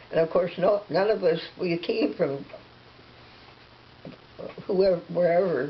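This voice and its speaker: Over noticeable background noise, a woman with a fairly low pitch talks at a fairly slow pace with very even loudness and long, frequent pauses. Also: ordinary pitch variation. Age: 80s+. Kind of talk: interview answer.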